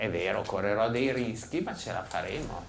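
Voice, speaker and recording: A man at medium pitch and moderate pace, with audible room echo. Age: 60s. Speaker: psychotherapist and author. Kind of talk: public talk. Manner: animated.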